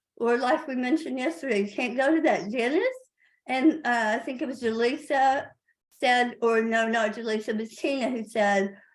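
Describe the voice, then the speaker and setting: A woman in a Texan accent with high pitch, ordinary pitch variation and a moderate pace. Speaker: parent advocate. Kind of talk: webinar presentation.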